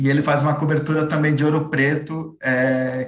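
A man with a fairly high pitch, somewhat breathy, at a fairly slow pace with fairly even intonation and audible room echo. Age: 30s. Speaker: film critic. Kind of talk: interview.

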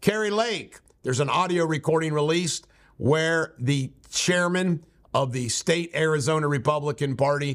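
The tone is animated, at a moderate pace. Pitch variation is ordinary. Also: man. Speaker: political commentary radio host. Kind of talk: angry political rant.

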